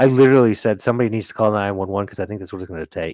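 Fairly even intonation from a fairly low-pitched man with an unremarkable speaking voice, dry and close with no echo, on a very clean recording with a silent background. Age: 40s. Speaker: wrestling referee and podcast co-host. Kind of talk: casual chat.

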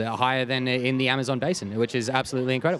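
A man with a medium pitch speaks at a very fast pace in an excited, animated tone. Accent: Australian. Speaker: podcast host. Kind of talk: casual interview chat. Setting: busy expo, on location.

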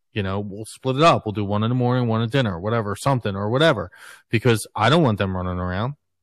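The speech moves at a very fast pace with ordinary pitch variation. The background is quiet. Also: man, fairly low pitch for a man. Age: 40s. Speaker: podcast host. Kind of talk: casual chat.

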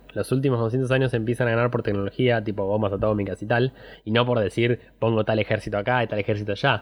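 Over a quiet background, a man speaks very fast at a medium pitch. His intonation is monotone and flat, his loudness very even. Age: 20s. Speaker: podcast host. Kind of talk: casual chat.

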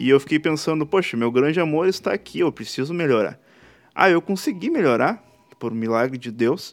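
With a plain, everyday voice, a man speaks at a moderate pace and a fairly high pitch, using lively intonation. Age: 20s. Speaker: podcast host. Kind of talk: casual solo monologue.

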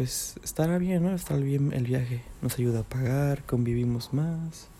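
A somewhat breathy voice with a dark, mellow tone speaks at a fairly slow pace with ordinary pitch variation. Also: man. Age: 20s. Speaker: podcaster. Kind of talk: personal monologue. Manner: halting, many repetitions.

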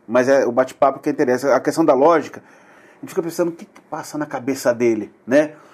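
Speaking at a very fast pace, a man with a fairly high pitch shows ordinary pitch variation and big swings in loudness. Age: 40s. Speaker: podcast host. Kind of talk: casual chat.

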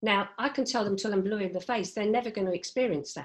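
A woman with an ordinary speaking voice talks at a medium pitch with ordinary pitch variation against a quiet background. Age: 60s. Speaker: HR head and grandmother. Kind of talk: casual chat.

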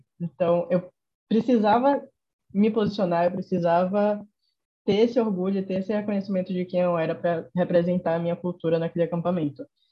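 A woman's somewhat breathy voice at medium pitch, fairly quick in pace, with ordinary pitch variation. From Salvador, Bahia (Brazil's Northeast). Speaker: youth NGO volunteer director. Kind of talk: casual interview chat.

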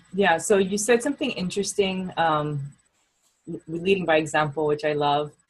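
A woman talks in a very deep, low pitch, somewhat breathy, with ordinary pitch variation. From Hawaii. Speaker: podcast host, sports mom and coach. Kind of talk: casual interview chat.

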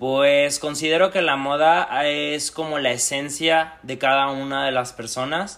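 A man talks fairly slowly, his voice fairly high in pitch and his intonation fairly even. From Mexico, Aguascalientes. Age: 20s. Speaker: fashion stylist. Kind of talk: interview. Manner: halting.

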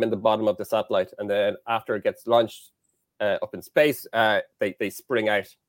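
A man with an Irish accent talks with fairly even intonation. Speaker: engineering lecturer. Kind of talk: casual interview.

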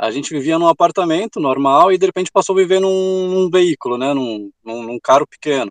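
With a dry, close sound and no echo, a man talks at a fairly quick pace with hardly any pauses, his high pitch carrying lively intonation. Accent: strong gaúcho. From Rio Grande do Sul, Brazil. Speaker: travel author. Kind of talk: interview.

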